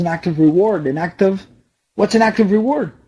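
With an American accent, a man speaks at a fairly quick pace with ordinary pitch variation. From US, Dallas, Texas. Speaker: Islamic lecturer. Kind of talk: lecture. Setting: online session. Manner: halting, many fillers.

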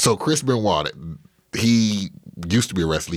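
A man with an American accent speaks in an animated tone with lively intonation and vocal fry. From South Carolina, Orangeburg. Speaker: cinematographer and content creator. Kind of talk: casual interview with comic storytelling.

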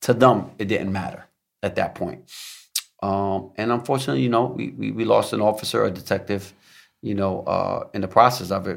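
With an American accent, a man speaks at a fairly quick pace in a fairly low voice with vocal fry and ordinary pitch variation, on a very clean recording with a silent background. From New York City, the Bronx. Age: 30s. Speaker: police detective and military veteran. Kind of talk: casual chat.

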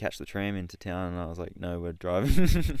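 A man with an Australian accent, very deep and low in pitch, at a moderate pace. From Newcastle, New South Wales, Australia. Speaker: wakeboarder. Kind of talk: casual chat. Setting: outdoors.

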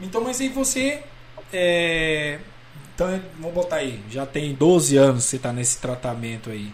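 With audible room echo, a man with a fairly high, somewhat breathy voice speaks at a moderate pace with lively intonation and long, frequent pauses. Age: 30s. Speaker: live stream host. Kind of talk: casual chat. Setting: live stream from home.

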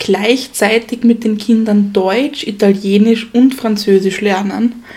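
Against noticeable background noise, a woman with a fairly high pitch talks at a very slow pace in a monotone, flat intonation. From Styria, Austria. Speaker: history podcast co-host. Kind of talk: casual history storytelling.

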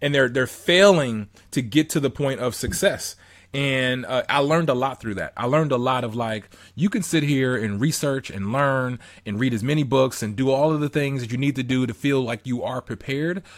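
Speaking with an American accent, a man uses a normal speaking voice at medium pitch. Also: ordinary pitch variation, moderate pace. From Southern California. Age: 30s. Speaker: motivational podcast host. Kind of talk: casual interview chat.

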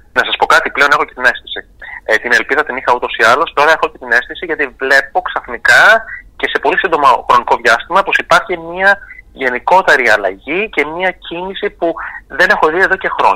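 A man speaks over noticeable background noise. The sound is dry and close, with no echo. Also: moderate pace. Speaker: actor. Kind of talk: radio interview. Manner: halting.

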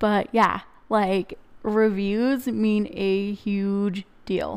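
A woman talks with a fairly high-pitched voice. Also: very clean recording, silent background. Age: 30s. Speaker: solo podcast host. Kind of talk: casual monologue. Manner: animated.

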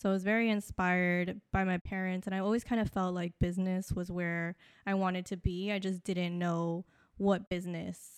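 Recorded very cleanly against a silent background with a dry, close sound and no echo, a woman with an American accent speaks at a medium pitch in a monotone, flat way. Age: 20s. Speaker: lash technician and business owner. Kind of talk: casual interview. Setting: indoors in air conditioning.

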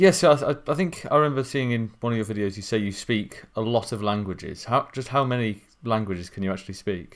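A man with a normal speaking voice and medium pitch talks at a fairly quick pace. His intonation is lively, and he hardly pauses at all. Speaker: podcast co-host and small YouTuber. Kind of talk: casual podcast interview.

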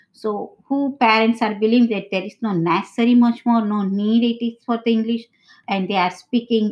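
Somewhat breathy, a woman with a Gujarati accent speaks at a fairly high pitch with fairly even intonation. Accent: Indian (Gujarati). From India, Mumbai. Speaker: interviewee, host's mother. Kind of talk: casual interview. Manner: halting.

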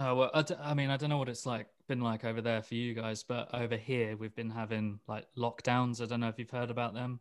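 This man rattles along at a very fast pace with hardly any pauses, his medium pitch held in a monotone, flat intonation. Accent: British. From UK. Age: 30s. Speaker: death metal musician. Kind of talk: interview. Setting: video call.

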